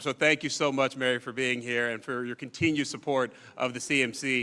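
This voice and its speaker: The man's voice has a bright, sharp tone. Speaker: forum moderator. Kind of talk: event hosting. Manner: fast.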